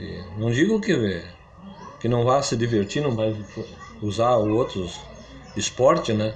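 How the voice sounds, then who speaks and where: With noticeable background noise and audible room echo, a man speaks at a very slow pace with ordinary pitch variation and long, frequent pauses. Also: medium pitch for a man. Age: 80s+. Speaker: founder of local football club, former amateur athlete. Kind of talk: interview.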